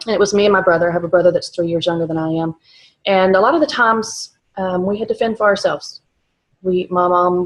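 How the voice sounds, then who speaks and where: Speaking at a fairly quick pace, a woman with a slight Texas accent uses a medium pitch and fairly even intonation. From South Texas. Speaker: vlogger. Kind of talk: personal testimony. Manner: halting, many fillers.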